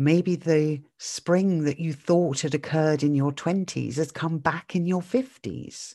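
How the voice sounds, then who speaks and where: A woman with a British accent speaks at a very deep, low pitch and a fairly slow pace, with hardly any pauses. Her tone is warm, dark and mellow, and the background is quiet. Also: ordinary pitch variation. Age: 50s. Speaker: mindset podcaster. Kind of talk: solo podcast monologue. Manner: warm, reflective.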